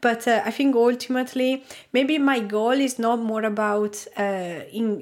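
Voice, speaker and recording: A woman with a non-native accent and a fairly high voice speaks at a fairly slow pace. Her intonation is fairly even, and the recording is very clean with a silent background. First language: not English. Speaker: product designer and YouTuber. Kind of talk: casual interview chat. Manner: hesitant, many filler words.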